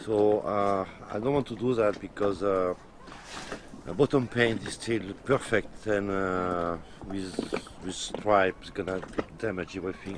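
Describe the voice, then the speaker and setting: The recording is dry with no echo, though background noise is noticeable. A man speaks slowly-ish, at a fairly slow pace, with a fairly low pitch and ordinary pitch variation. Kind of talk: casual explanation. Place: boat. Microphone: camera far.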